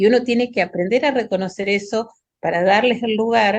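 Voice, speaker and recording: With ordinary pitch variation, a woman uses a normal speaking voice. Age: 60s. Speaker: pediatric hematologist. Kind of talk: panel discussion.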